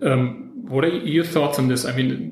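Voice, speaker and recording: A man with a German accent, fairly high in pitch, with ordinary pitch variation, noticeable background noise and audible room echo. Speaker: podcast host, film critic. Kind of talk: interview. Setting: in person in Frankfurt.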